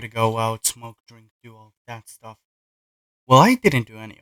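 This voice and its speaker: A man speaks at a fairly slow pace in a bright, sharp tone. The sound is dry and close, with no echo. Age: young. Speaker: gaming vlogger. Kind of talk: casual vlog. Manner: halting. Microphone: poor audio.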